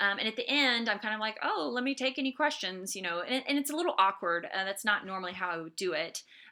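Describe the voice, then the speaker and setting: Over noticeable background noise, a woman talks very fast with hardly any pauses. Her fairly high voice has lively intonation. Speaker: art instructor. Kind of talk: lecture. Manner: casual, many fillers.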